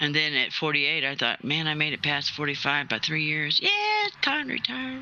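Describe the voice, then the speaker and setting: Over noticeable background noise, a man with an American accent talks at a fairly quick pace in a fairly high, monotone voice with flat intonation. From US Southwest, New Mexico. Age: 60s. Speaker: retired salvage diver, gaming stream participant. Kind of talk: casual chat.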